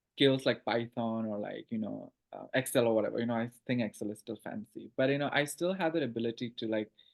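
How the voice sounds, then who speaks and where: Very fast speech in an Assam accent. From Northeast India, Assam (Guwahati). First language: Assamese. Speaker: writer and PhD student. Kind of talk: casual interview chat. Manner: halting, many fillers.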